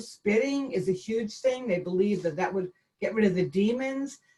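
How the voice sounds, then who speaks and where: A woman with a Boston accent and ordinary pitch variation. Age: 60s. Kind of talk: talk with Q&A on a video call. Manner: halting, with frequent fillers and restarts.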